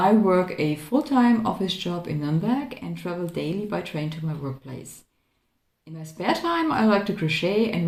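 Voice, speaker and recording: With a non-native accent, a woman speaks at fairly low pitch and a moderate pace. Her intonation is lively. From Croatia. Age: 30s. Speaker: crafting vlogger. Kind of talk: casual chat. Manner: halting.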